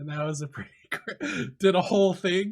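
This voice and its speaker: His pitch rises and falls in an ordinary way. The man keeps a moderate pace. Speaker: gaming streamer and youtuber. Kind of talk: casual interview chat. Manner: tends to trail off.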